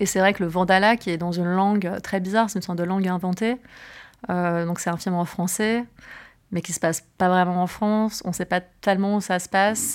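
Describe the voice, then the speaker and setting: At a fairly quick pace, a woman talks in an ordinary speaking voice at a medium pitch with fairly even intonation, on a very clean recording with a silent background. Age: 30s. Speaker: film producer. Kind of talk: interview.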